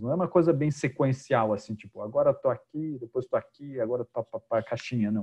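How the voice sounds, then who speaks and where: At a moderate pace, a man speaks in a dark, mellow tone that is somewhat breathy. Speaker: project management trainer. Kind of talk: webinar presentation.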